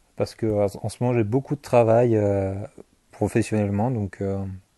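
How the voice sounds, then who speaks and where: The voice has a dark, mellow tone over a quiet background. The sound is dry and close, with no echo. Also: man. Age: 20s. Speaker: YouTuber, gaming and manga channel. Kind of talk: casual vlog Q&A. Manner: hesitant, many fillers and repetitions.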